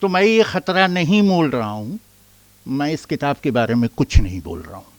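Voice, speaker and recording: Recorded very cleanly against a silent background with a dry, close sound and no echo, a man with a fairly high pitch speaks at a moderate pace, his loudness swinging widely and his pitch ranging very broadly. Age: 60s. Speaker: author. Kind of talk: speech.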